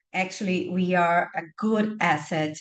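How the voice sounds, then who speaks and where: In a Portuguese accent, a woman speaks at a fairly slow pace with a medium pitch and fairly even intonation against a quiet background. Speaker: webinar panelist on bioenergy. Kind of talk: webinar presentation. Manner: halting, many fillers and repetitions.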